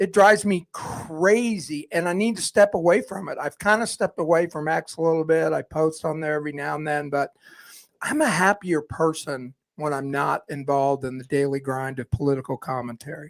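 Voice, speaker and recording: A man with a plain, everyday voice talks at a fairly quick pace and fairly high pitch with ordinary pitch variation, dry and close with no echo on a very clean recording with a silent background. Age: 60s. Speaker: outgoing podcast co-host and radio host. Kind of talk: casual chat.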